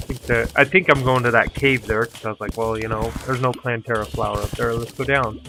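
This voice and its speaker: Noticeable background noise is present. The speaker talks at a fairly quick pace. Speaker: gaming video creator. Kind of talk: gameplay commentary recorded after the fact.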